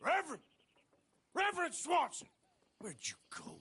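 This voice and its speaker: Someone puts on a character voice and speaks at a moderate pace. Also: man, extremely high pitch for a man. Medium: video game. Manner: loud, aggressive.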